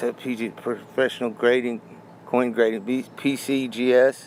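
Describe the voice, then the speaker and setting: Noticeable background noise accompanies a man as he talks. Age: 60s. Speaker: coin collector. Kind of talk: casual talk to camera.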